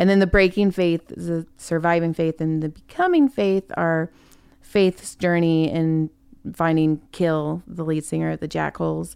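A plain, everyday voice with an American accent moves at a fairly slow pace with fairly even intonation on a very clean recording with a silent background. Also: woman, fairly low pitch for a woman. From California. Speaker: comedian. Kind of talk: casual chat.

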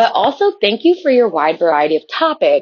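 With an American accent, a woman talks at a moderate pace using very wide pitch swings. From Chicago area. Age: 20s. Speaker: listener leaving voicemail. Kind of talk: voicemail testimony. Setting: recorded voice memo.

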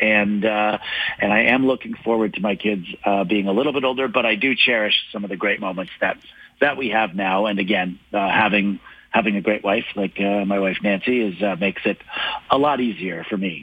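A man talks at a fairly quick pace in an ordinary speaking voice. His pitch is fairly low and his intonation fairly even. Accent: Canadian. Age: 40s. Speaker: stand-up comedian and author. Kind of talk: radio interview. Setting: phone line.

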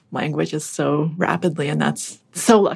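A woman speaks with a General American accent. Her pace is moderate. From Massachusetts (Boston suburbs), born in Russia. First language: Russian. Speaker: author and podcaster. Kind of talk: casual interview chat.

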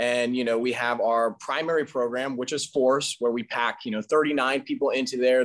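A man with a plain, everyday voice, medium pitch and a fairly quick pace. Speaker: gym owner and trainer. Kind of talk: interview.

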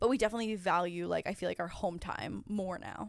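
A woman talks at a very fast pace with a Canadian accent. The recording is very clean, the background silent. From Ontario, Canada (near Niagara Falls). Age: 30s. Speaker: YouTuber and podcast host. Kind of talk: casual chat.

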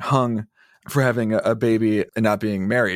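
Using a plain, everyday voice, a man talks at a fairly quick pace with fairly even intonation. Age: 30s. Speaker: shame researcher and author, podcast producer.

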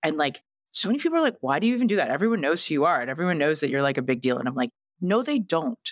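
Very deep, low woman's voice with a Canadian accent at a very fast pace, with very wide pitch swings and very even loudness. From western Canada. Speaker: entrepreneur and TV investor. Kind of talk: casual interview. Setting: podcast studio.

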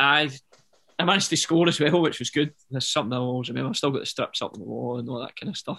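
A man with a Glaswegian accent, very fast, bright and sharp in tone, with vocal fry. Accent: Glaswegian Scottish. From Glasgow, Scotland. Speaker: professional footballer. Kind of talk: casual interview chat.

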